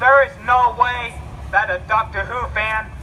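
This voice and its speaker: Noticeable background noise is present. A man talks at a fairly unhurried pace. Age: 20s. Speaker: college student. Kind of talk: public speech at a rally. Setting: outdoors vigil crowd. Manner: stuttering, repetitive.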